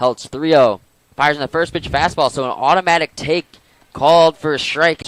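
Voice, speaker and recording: At a fairly quick pace, a man talks in an excited, energetic tone. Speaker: sports play-by-play broadcaster. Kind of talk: live baseball play-by-play radio/TV call. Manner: excited, fast, energetic.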